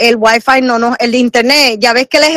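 The recording has a dry, close sound with no echo, and a woman speaks in a high pitch. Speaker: host's mother, regular caller. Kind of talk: casual chat. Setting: internet call with Bluetooth earphones.

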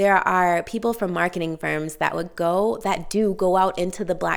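Her pace fairly slow, a woman with an American accent speaks at a fairly low pitch with fairly even intonation. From Boston, Massachusetts. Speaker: podcast host. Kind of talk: solo podcast monologue.

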